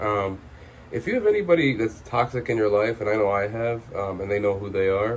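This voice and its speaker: The man's voice is somewhat breathy. It sits at a fairly low pitch. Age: 20s. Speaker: vlogger. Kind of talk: personal vlog monologue. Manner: hesitant, many filler words.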